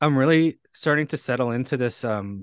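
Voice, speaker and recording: Speaking at a moderate pace, a man with a medium pitch is heard in a dry, close sound with no echo over a quiet background. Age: 40s. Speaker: recovery speaker and firefighter. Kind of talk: interview. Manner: halting, many fillers and repetitions.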